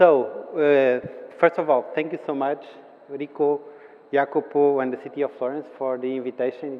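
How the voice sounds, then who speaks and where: A man with a Portuguese accent talks at a moderate pace in a monotone, flat intonation. Noticeable background noise runs underneath. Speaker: city official. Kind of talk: conference presentation. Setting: conference hall with audience. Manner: halting, many fillers and repetitions.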